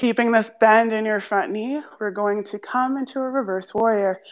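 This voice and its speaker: The woman's intonation is fairly even at a moderate pace. Behind her, the background is quiet. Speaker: yoga teacher. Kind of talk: guided meditation. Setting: live stream, video class. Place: gym.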